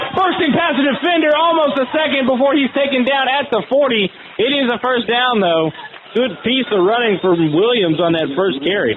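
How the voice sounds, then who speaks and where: A man speaks at an extremely high pitch with very wide pitch swings and very even loudness. Noticeable background noise runs behind him. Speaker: sports play-by-play broadcaster. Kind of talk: high school football play-by-play, fast and energetic.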